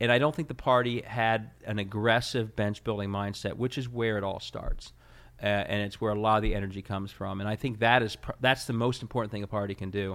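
A man with an American accent talks at a fairly quick pace in an ordinary speaking voice. His pitch is fairly low and his intonation fairly even. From Ohio, Cincinnati. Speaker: state party chairman. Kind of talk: interview.

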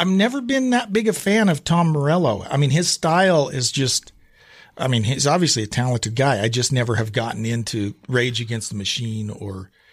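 On a very clean recording with a silent background, a man speaks at a moderate pace in a somewhat breathy voice with very wide pitch swings. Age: middle-aged. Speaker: podcast host. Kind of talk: casual chat. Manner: animated.

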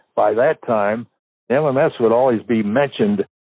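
A man with an American accent and an unremarkable speaking voice, medium in pitch, at a fairly slow pace with ordinary pitch variation. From Southern California, San Fernando Valley. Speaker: former overnight radio DJ. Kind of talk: casual interview storytelling.

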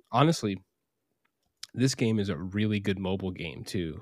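In an American accent, a man with an unremarkable speaking voice talks at a moderate pace, his pitch fairly low with ordinary variation. The recording is very clean and the background silent. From Arizona. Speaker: podcast co-host. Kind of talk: casual chat.

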